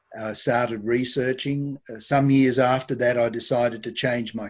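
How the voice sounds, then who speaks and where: At a moderate pace, a man with an Australian accent speaks at a medium pitch with monotone, flat intonation. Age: 70s. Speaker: homeopath. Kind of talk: interview. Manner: halting.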